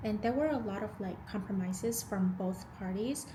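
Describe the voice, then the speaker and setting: A woman with an American accent, fairly high in pitch with ordinary variation, at a moderate pace, amid noticeable background noise and audible room echo. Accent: slight Vietnamese-tinged American English. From Vietnam. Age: 20s. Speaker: lifestyle vlogger. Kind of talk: casual Q&A chat. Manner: casual, hesitant with fillers.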